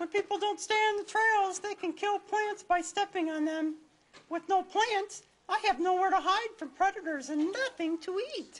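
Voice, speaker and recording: It's a cartoonish character voice, squeaky and extremely high in pitch. The lines come at a moderate pace. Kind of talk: children's puppet show. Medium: puppet show. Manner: playful, chatty.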